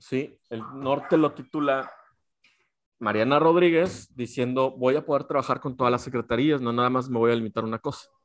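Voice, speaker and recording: Speaking at a moderate pace with a Mexican accent, a man keeps a medium pitch and fairly even intonation. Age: 40s. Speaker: podcast co-host. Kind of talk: casual chat.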